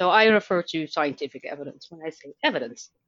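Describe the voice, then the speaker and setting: A woman with a Dutch accent. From Netherlands. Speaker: learning designer and author. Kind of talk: interview.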